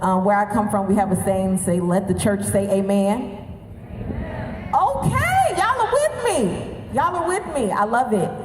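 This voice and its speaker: A woman speaks in an animated tone with a Southern US accent. Room echo is audible and background noise is noticeable. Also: moderate pace. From US South, Alabama. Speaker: commencement speaker. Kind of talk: commencement speech. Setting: stage with audience.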